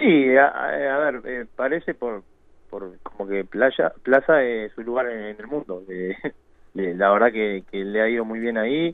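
Here a man has a normal speaking voice at medium pitch with ordinary pitch variation. He speaks at a fairly slow pace. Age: 30s. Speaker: professional footballer. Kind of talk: radio interview.

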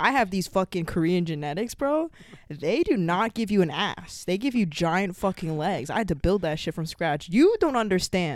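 Speaking in an ordinary speaking voice, a woman keeps a medium pitch and a moderate pace. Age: 20s. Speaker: college student podcast co-host. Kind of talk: casual chat.

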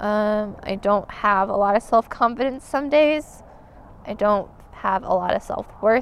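A woman with an unremarkable speaking voice and an American accent talks at a fairly slow pace, her fairly high pitch showing ordinary variation. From Montana. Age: 30s. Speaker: hiker and product support technician. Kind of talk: interview.

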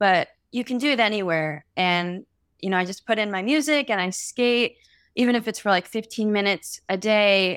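An unremarkable speaking voice from a woman, medium in pitch with ordinary pitch variation at a moderate pace, dry and close with no echo on a very clean recording with a silent background. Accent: American. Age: 20s. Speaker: singer and skateboarder. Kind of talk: interview testimony.

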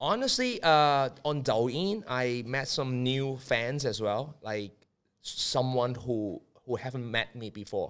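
A man with a Cantonese accent, at a very slow pace. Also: medium pitch for a man, ordinary pitch variation. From Hong Kong. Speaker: media and marketing entrepreneur. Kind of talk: casual chat. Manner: halting.

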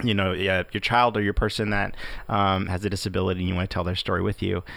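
This man's voice sits at a fairly low pitch. His intonation stays fairly even. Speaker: podcast co-host. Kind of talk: podcast intro and outro. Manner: halting, filler words.

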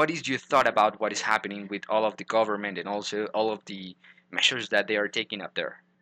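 A man with a Spanish accent and a fairly low pitch talks at a very fast pace in a bright, sharp tone with fairly even intonation, his dry, close sound carrying no echo against a quiet background. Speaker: podcast host. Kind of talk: interview.

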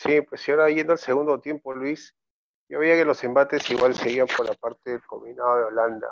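Dry and close with no echo, a man's medium-pitched voice moves at a fairly quick pace in a monotone, flat intonation. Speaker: football commentator. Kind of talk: casual football discussion.

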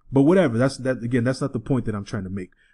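Against a quiet background, a man speaks with an American accent at a medium pitch. He has an unremarkable speaking voice with ordinary pitch variation. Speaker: podcast host. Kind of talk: casual banter podcast.

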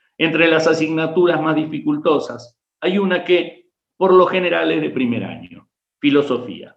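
A man with a Rioplatense accent, fairly high pitch with vocal fry, ordinary pitch variation and a moderate pace. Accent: Argentine Spanish (rioplatense, voseo). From Argentina, Rafaela, Santa Fe. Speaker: history professor, writer and war veteran. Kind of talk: interview with story readings.

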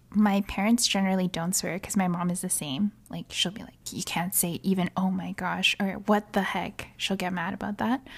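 In a very clean recording with a silent background, a woman speaks at a medium pitch and moderate pace, somewhat breathy, with fairly even intonation and hardly any pauses. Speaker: podcast co-host. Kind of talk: casual chat. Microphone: new mic.

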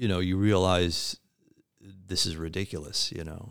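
With an American accent, this man talks in a very deep, low pitch. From US Midwest. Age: 50s. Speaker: trauma survivor sharing his story. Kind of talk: interview. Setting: studio. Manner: halting.

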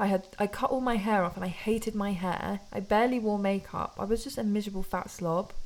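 A woman with a British accent at a fairly quick pace with hardly any pauses, medium pitch and fairly even intonation. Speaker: podcast co-host. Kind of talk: casual chat.

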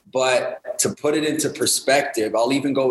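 Over noticeable background noise, a man with a Canadian accent speaks at a moderate pace with fairly even intonation. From Winnipeg, Manitoba, Canada. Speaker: hip hop artist and youth worker. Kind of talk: casual interview.

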